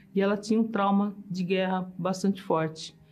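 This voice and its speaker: In a monotone, flat delivery, a woman speaks at a moderate pace with a somewhat breathy sound. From Brazil (São Paulo). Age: 70s. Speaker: engineer giving testimony. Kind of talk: testimony.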